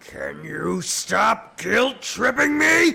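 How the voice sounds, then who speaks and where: A man in a put-on character voice growls at an extremely high pitch. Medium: audio drama. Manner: blunt, casual.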